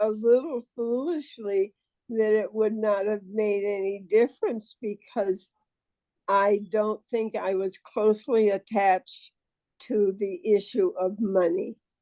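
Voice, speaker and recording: At a very slow pace, a woman speaks with a fairly high pitch, a dark, mellow tone and fairly even intonation, the sound dry and close with no echo. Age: 90s. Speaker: author and elder. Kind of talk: interview.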